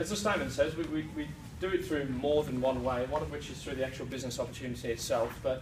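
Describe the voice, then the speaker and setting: A man with a British accent talks at a very fast pace, his voice carrying audible room echo over noticeable background noise. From UK. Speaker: presenter at a sales meeting, fitness trainer. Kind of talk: sales presentation. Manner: hesitant fillers.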